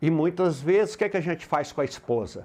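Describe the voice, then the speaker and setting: This man's voice sits high in pitch, with ordinary pitch variation. The background is quiet. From Brazil, Minas Gerais (rural). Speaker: motivational sales speaker. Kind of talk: motivational talk. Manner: animated.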